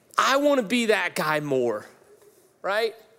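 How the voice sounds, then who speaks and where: A man's raised, projected voice, high in pitch, with very wide pitch swings and an animated, bright, sharp tone. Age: 40s. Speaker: pastor. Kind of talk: sermon.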